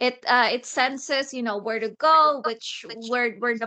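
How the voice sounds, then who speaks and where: A woman with a Filipino accent speaks fairly slowly in a high, bright, sharp tone with ordinary pitch variation. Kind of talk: casual chat. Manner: halting.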